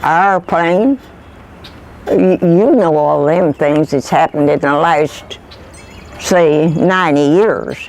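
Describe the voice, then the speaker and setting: A woman's very deep, low voice in a rural Kentucky accent, very slow with long, frequent pauses and very even loudness, against noticeable background noise. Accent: rural Kentucky Southern. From US South. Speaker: oral history interviewee. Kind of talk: interview.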